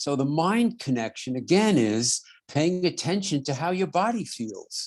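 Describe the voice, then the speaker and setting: A man with a New York accent speaks at a moderate pace with lively intonation, recorded very cleanly against a silent background. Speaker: podiatrist and radio host. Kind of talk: interview conversation.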